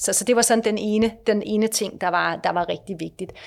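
A woman's medium-pitched voice with vocal fry and fairly even intonation, at a fairly quick pace, in a very clean recording with a silent background. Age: 50s. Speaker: company director. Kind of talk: interview.

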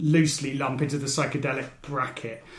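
A man at a moderate pace amid audible room echo and noticeable background noise. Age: 40s. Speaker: podcast host. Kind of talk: casual chat.

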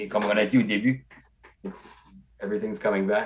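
The man's voice sits at a medium pitch and moves with lively intonation. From Acadian peninsula, northeast New Brunswick. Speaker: stand-up comedian. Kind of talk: casual chat.

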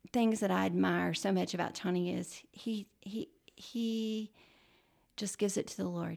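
A woman speaks with a Texan accent. Her pace is fairly slow. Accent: Texan Southern US. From Texas (Baytown, Gulf Coast). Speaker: church member sharing faith story. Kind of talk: testimony. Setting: studio.

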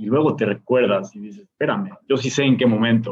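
Speaking at a fairly quick pace, the man has a fairly high-pitched voice. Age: 30s. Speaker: DJ and music producer. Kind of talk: interview conversation. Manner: animated.

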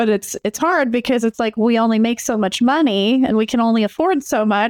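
In a Midwestern accent, a woman speaks at a moderate pace with ordinary pitch variation. The sound is dry and close with no echo, over a quiet background. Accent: General American (Midwest). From Michigan, suburban Detroit. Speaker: co-host and therapist. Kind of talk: casual chat.

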